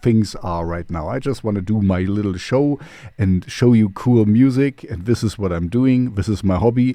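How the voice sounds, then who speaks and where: In a German accent, the speaker uses a dark, mellow tone, ordinary pitch variation and a moderate pace against a quiet background. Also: man. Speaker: radio host and DJ. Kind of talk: casual radio show presenting. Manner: halting with many fillers.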